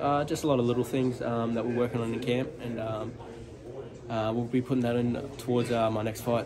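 Over noticeable background noise, the speaker moves at a fairly quick pace with monotone, flat intonation. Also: man. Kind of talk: interview answer. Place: gym. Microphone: phone near.

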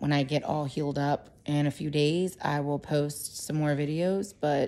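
A woman's voice, very deep and low in pitch, carries a dark, mellow tone. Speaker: home vlogger. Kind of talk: casual vlog chat. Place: home room. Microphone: phone near.

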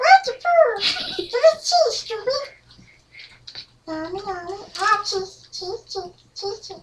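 A man uses a put-on character voice at extremely high pitch. He moves at a very slow pace with long, frequent pauses. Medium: role play. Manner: demanding, excited.

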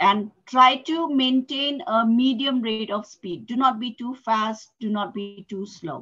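A woman speaks at a fairly slow pace with hardly any pauses, her tone bright and sharp. Her loudness swings widely and her pitch varies in an ordinary way, against a quiet background. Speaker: English tutor. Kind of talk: online English lesson. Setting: video call. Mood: instructive, encouraging. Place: home room. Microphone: headset.

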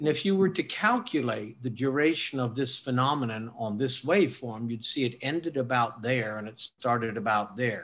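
Speech runs at a moderate pace with hardly any pauses. The pitch varies in an ordinary way. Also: man. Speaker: guest. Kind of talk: lecture. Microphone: video call.

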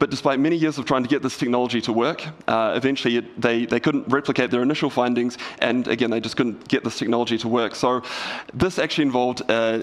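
The man talks at a very fast pace with fairly even intonation. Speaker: conference speaker. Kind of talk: lecture. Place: stage.

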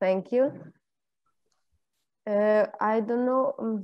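A woman with an Albanian accent speaks at a very slow pace in a fairly high pitch, her dark, mellow tone flat and monotone over a quiet background. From Montenegro, Albanian-speaking. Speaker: master's student. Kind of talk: self-introduction; self-introduction in online workshop. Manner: halting. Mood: friendly, slightly shy. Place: home room. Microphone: video call.

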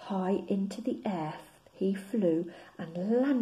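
The speaker is reading aloud in a natural voice, with pitch that varies in an ordinary way.

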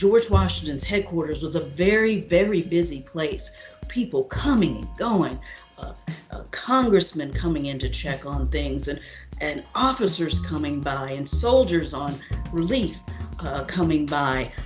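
A woman talks at a fairly slow pace, her loudness swinging widely. Faint music plays in the background. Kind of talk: interview answer. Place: home room. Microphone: webcam.

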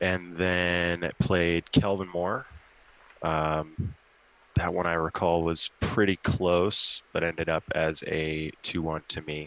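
A man's very deep, low voice, very slow and in monotone, flat intonation, with a dry sound with no echo. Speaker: tabletop wargame competitor and model maker. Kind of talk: casual chat. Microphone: video call.

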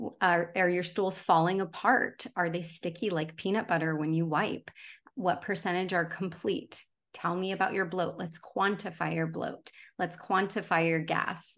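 At a moderate pace, a plain, everyday voice speaks with fairly even intonation over a quiet background. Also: woman, fairly low pitch for a woman. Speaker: dietitian; guest. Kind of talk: casual chat. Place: home room.

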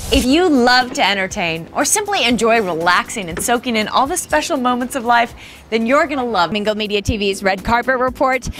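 With music in the background, a woman speaks at a fairly high pitch with lively intonation. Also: fairly quick pace. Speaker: TV host and reporter. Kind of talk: TV host segment read. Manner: energetic.

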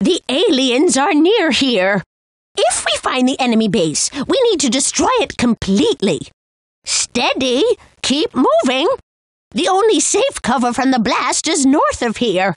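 Using a put-on character voice, a woman with a high pitch and very wide pitch swings speaks at a fairly slow pace in a dry, close sound with no echo. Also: very even loudness. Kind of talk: video game character lines. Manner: excitable, exclamatory.

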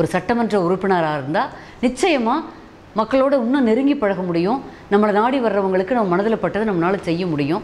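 Her intonation is lively, and this woman keeps her loudness very even. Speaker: television news reader and politician; former news reader, politician. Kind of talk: interview answer. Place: home room.

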